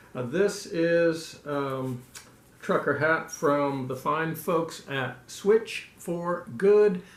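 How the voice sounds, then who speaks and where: The man's fairly high-pitched voice rings with audible room echo. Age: 60s. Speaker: ultramarathon runner and vlogger. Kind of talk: personal video update. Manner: halting with many fillers.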